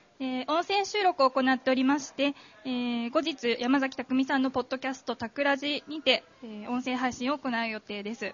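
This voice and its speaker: A woman speaks with a high voice and ordinary pitch variation at a moderate pace. Background noise can be noticed. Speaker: event MC. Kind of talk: formal event announcement. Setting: stage with audience. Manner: formal.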